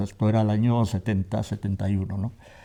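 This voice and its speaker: The voice has a dark, mellow tone and fairly even intonation at a moderate pace. The background is quiet. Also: man. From Navarre, Spain (Tafalla). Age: 60s. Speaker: theatre actor. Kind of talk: interview. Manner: hesitant, with fillers.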